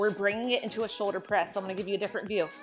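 This woman's ordinary pitch variation comes with faint music in the background. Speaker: fitness instructor. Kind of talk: workout instruction. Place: empty room. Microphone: lapel.

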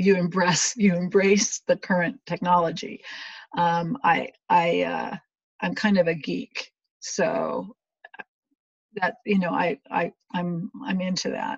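With long, frequent pauses, a woman speaks at a very slow pace in a medium pitch with ordinary pitch variation and vocal fry, the sound dry and close with no echo. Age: 50s. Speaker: mental health blogger. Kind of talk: casual chat. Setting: video call. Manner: halting.

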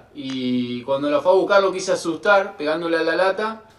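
A man with a high pitch, lively intonation, and a moderate pace, with audible room echo. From Argentina. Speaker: guest's brother; guest. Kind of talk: recorded video message. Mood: amused childhood anecdote. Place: home room. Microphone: video call.

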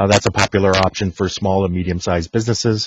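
This is a plain, everyday voice. Its intonation stays fairly even. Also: man. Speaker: technical marketing engineer. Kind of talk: technical webinar presentation. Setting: video call.

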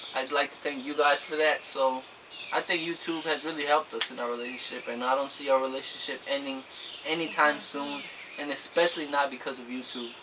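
Over noticeable background noise, a man talks at a fairly quick pace. His intonation is monotone and flat. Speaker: couple vlogger. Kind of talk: casual vlog chat. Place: home room. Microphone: camera far.

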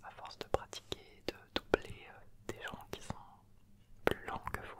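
A man speaks at a very slow pace over loud background noise. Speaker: YouTuber explaining a motorsport activity. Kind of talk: casual vlog chat. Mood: enthusiastic, relaxed. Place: home room. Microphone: handheld.

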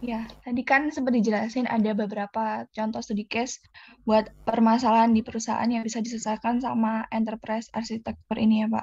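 Her voice is fairly high and somewhat breathy, with monotone, flat intonation. The woman talks at a fairly quick pace. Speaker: student webinar organizer. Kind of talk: formal closing remarks. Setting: video call.

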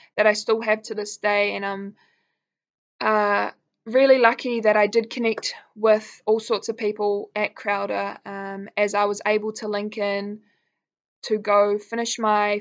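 Against a quiet background, a woman with a New Zealand accent speaks at a fairly slow pace. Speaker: college alum. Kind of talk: testimonial talk to camera. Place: home room. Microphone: webcam.

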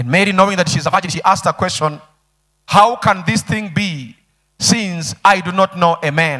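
Over a quiet background, a man with a bright, sharp tone talks at a moderate pace with ordinary pitch variation and long, frequent pauses. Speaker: pastor. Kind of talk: sermon. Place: church. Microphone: handheld.

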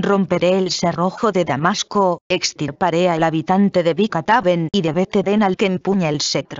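At a moderate pace, a woman talks in a normal speaking voice, fairly low in pitch with ordinary pitch variation. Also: hardly any pauses, very even loudness. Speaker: scripture reader. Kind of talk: scripture reading aloud. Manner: formal, solemn, measured; steady, even-paced.

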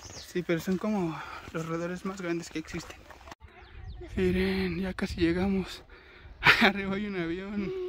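A man talks at a fairly slow pace with long, frequent pauses. The sound is dry with no echo, and there is light background noise. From Mexico, Mexico City area; Mexico. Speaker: travel vlogger. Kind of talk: casual vlog narration. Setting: outdoors. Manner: animated. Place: forest. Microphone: phone near.

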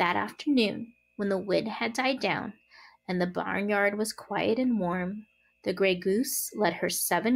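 An unforced reading voice shows ordinary pitch variation throughout.

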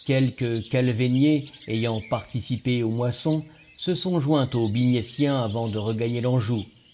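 Simply an unforced reading voice

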